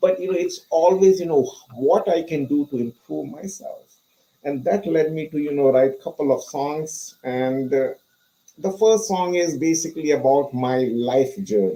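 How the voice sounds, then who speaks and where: A man with a non-native accent speaks at a moderate pace with lively intonation. His fairly high voice has a dark, mellow tone. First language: not English. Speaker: motivational speaker. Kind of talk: interview.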